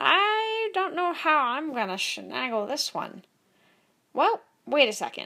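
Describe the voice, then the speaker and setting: In a put-on character voice, a woman speaks at a fairly slow pace and high pitch with very wide pitch swings, in a very clean recording with a silent background. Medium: read story. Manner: fussy, rambling.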